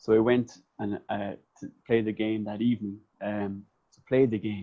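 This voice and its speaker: With a Cork accent, a man speaks at a medium pitch. His pace is moderate. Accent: Cork Irish. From Ireland, County Cork. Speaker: podcast host. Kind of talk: casual chat.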